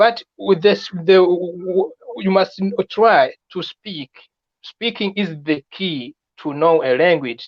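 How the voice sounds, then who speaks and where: The speaker has a French accent. The pace is very slow. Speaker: immigration advice video maker. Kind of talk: live stream chat. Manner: halting, many repetitions.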